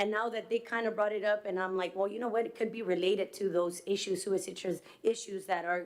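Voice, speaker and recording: Speaking very fast with hardly any pauses, a woman keeps a medium pitch and a monotone, flat intonation. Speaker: resident speaking at public meeting, elementary teacher. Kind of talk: public comment at city meeting. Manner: halting.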